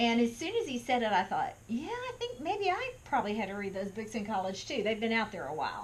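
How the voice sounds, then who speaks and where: With a Texan accent, a woman speaks fairly quickly at a high pitch, her pitch swinging very widely. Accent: Texan American. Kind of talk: talk to camera. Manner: conversational.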